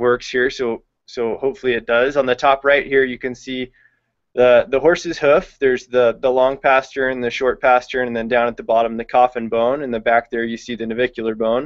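Over a quiet background, a man with a medium-pitched voice speaks fairly quickly in a flat monotone. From California, Visalia; California. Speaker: veterinary intern; presenter. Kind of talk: webinar lecture. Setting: online video hangout. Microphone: video call.

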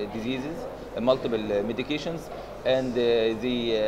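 Through noticeable background noise, a man talks at a moderate pace. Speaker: interviewee. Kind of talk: interview answer. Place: hall.

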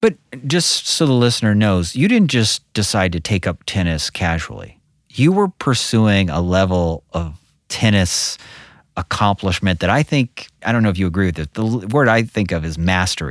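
Recorded very cleanly against a silent background, with a dry, close sound and no echo, a man with a fairly low pitch talks at a moderate pace using lively intonation. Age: 40s. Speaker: podcast host, investment advisor. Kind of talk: interview. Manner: enthusiastic.

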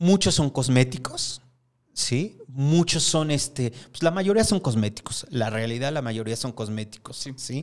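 A man's fairly slow, lively-sounding speech over a quiet background. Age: 50s. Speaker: hair stylist and salon owner; guest. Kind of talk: interview. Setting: studio. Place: studio. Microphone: studio mic.

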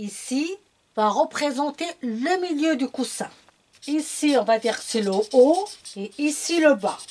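At a very slow pace with long, frequent pauses, a woman speaks in a high pitch with lively intonation. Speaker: sewing tutor. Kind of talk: tutorial.

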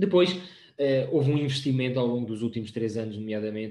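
A man, somewhat breathy, at a fairly quick pace with ordinary pitch variation and audible room echo. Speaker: open science project staff; presenter. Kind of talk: presentation. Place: home room. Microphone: video call.

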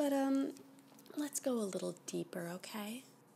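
A soft-spoken woman talks at a fairly slow pace in a somewhat breathy voice. Light background noise sits behind her. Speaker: ASMR creator. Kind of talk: soft-spoken ASMR guidance. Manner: soft ASMR murmur, flirty. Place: home room.

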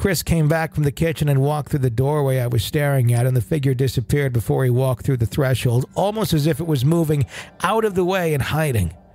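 Somewhat breathy and dark, mellow in tone, a man with a fairly high pitch rushes along at a very fast pace with very even loudness. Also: ordinary pitch variation. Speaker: podcast host. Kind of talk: ghost story telling, reading a listener's first-person account aloud.

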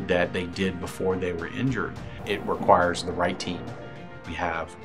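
A man speaks with a very deep, low pitch. Clear music plays in the background. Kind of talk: interview answer. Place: office. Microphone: lapel.

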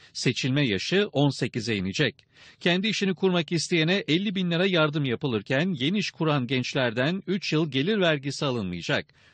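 A man with vocal fry speaks at a moderate pace in a fairly high pitch, with lively intonation and very even loudness. The sound is dry and close with no echo, over a quiet background. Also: hardly any pauses. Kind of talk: news reading. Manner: formal, brisk broadcast-news delivery, even and authoritative.

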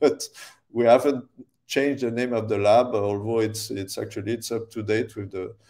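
A man's dark, mellow voice with fairly even intonation over a quiet background. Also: moderate pace. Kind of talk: lecture. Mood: friendly, laughing at times.

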